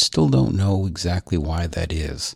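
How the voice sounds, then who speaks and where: This man's voice is somewhat breathy. His pace is fairly slow. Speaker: podcast co-host. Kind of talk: casual banter. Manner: hesitant, repeats words.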